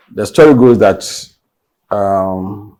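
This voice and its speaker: This man has a dark, mellow tone and a fairly low pitch. His pitch variation is ordinary. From Ghana, Kumasi. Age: 70s. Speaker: Ghanaian politician. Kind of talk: interview.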